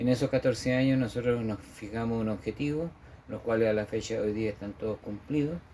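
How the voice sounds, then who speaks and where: Dark and mellow in tone, a man's medium-pitched voice moves at a fairly quick pace with fairly even intonation. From central-south Chile, Parral then Paine. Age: 60s. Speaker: memorial director and former local councillor. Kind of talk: interview. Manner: hesitant, many fillers.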